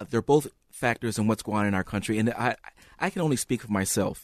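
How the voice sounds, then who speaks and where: A man with a normal speaking voice and an American accent, at a fairly quick pace, in a dry, close sound with no echo against a quiet background. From US Midwest, Saint Paul, Minnesota. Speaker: former schoolteacher. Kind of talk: radio interview.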